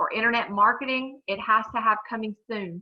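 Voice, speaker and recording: An unremarkable speaking voice, a woman with an American accent talks at a moderate pace, at fairly high pitch, with fairly even intonation. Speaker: real estate broker teaching a forms class. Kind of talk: training class.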